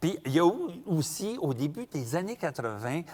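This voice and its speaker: A man with a Quebec accent speaks at a fairly slow pace, his pitch swinging very widely. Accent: rural Quebec French. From Quebec, rural. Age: 60s. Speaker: storyteller. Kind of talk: storytelling performance; interview.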